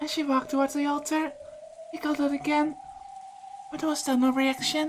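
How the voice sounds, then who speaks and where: Fairly quick, monotone speech with flat intonation from a high-pitched woman, over noticeable background noise. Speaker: visual novel let's play reader. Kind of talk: visual novel read-aloud narration.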